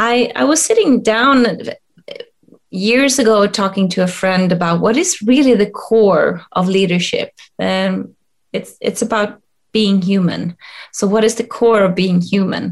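Speaking in a Swedish accent, a woman at a medium pitch talks at a fairly slow pace with ordinary pitch variation. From rural Sweden. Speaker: leadership coach and HR expert. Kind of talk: interview. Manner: halting, many fillers.

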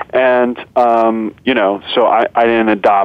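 Fairly low-pitched male speech in a monotone, flat intonation, over noticeable background noise. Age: 30s. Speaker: documentary filmmaker. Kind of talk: interview conversation.

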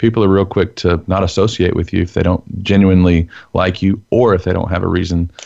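A very deep, low man's voice with a Texan accent at a fairly quick pace, over a quiet background. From Texas. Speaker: former prisoner, enneagram teacher. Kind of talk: interview testimony.

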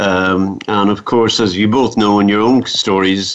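A man's fairly low, fairly slow voice in an Irish accent. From Ireland, midlands. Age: 50s. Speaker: cancer survivor. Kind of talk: interview.

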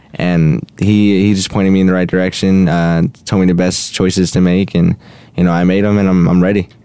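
Over noticeable background noise, a man with a very deep, low pitch talks at a fairly quick pace, his loudness very even and his intonation monotone and flat. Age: young. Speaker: recent high school graduate athlete. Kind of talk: radio interview. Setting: studio. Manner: halting, many fillers.

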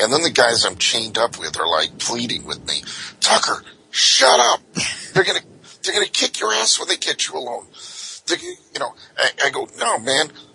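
Against noticeable background noise, a man talks at a moderate pace with a medium pitch and very wide pitch swings. The sound is dry and close with no echo, and he leaves long, frequent pauses. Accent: American. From Southern California. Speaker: private investigator. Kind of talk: casual interview storytelling. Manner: conversational, anecdotal.

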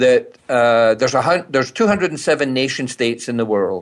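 Against a quiet background, a man talks in a Scottish accent. His pitch is medium with ordinary pitch variation. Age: 60s. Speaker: speaker and business consultant. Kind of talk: interview conversation. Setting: phone call from British Columbia.

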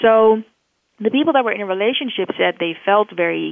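Speaking with a Dutch accent, a woman moves at a fairly quick pace with lively intonation. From Netherlands. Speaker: professor and neuroscientist. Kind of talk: interview. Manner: halting, frequent fillers.

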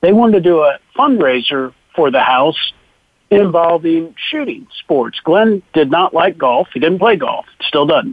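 Speaking fairly slowly, a man uses a high-pitched voice with an American accent. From Ohio. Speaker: charity executive director. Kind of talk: radio interview.

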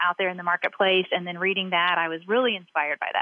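A woman with a Southern accent talks at a medium pitch. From Kentucky, Louisville. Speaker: restaurant marketing executive. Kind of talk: interview.

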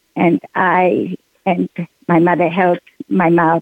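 A woman with a fairly low voice speaks with vocal fry. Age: 80s+. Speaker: Holocaust survivor and author. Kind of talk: testimony.

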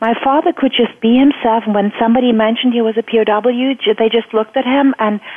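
A woman with a German accent talks at a fairly quick pace in a fairly high voice. Her intonation stays fairly even over noticeable background noise. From Germany. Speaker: EFT coach. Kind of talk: interview.

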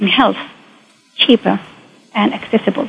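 A woman with an Arabic accent speaks at a fairly high pitch. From Saudi Arabia, Mecca. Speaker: biotechnologist and science entrepreneur. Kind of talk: interview. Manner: halting.

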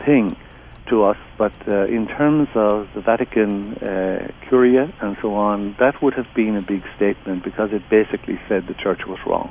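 With an Irish accent, a man speaks with a fairly low pitch and fairly even intonation. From southeast Ireland. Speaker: theologian and author. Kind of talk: interview.

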